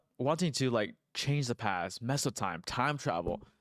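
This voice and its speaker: Recorded very clean with a silent background and a dry, close sound with no echo, the voice moves at a moderate pace. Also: man. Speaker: gaming streamer. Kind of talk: casual gameplay commentary. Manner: stumbling over words.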